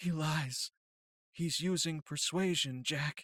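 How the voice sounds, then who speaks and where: A woman uses a put-on character voice with a very deep, low pitch. She speaks at a fairly slow pace. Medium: read story. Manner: blunt, clipped, tough.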